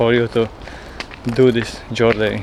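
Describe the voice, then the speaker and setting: A man at a fairly slow pace, amid noticeable background noise. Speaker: travel vlogger. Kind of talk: travel vlog narration.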